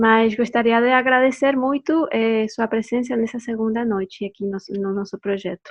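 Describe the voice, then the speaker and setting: Moderately paced speech from a woman with a fairly high voice and ordinary pitch variation. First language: Spanish (speaking Portuguese). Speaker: anthropology doctoral researcher. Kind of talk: academic presentation. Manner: halting with fillers.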